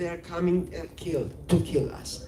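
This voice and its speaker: A very slow delivery in a Georgian accent. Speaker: filmmaker. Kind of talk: interview. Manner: halting.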